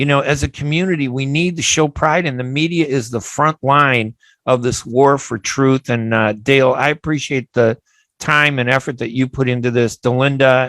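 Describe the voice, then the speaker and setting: In a very clean recording with a silent background, a man with an unremarkable speaking voice talks at medium pitch and a moderate pace, with fairly even intonation and a dry, close sound with no echo. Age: 60s. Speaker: radio talk show host. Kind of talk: radio interview.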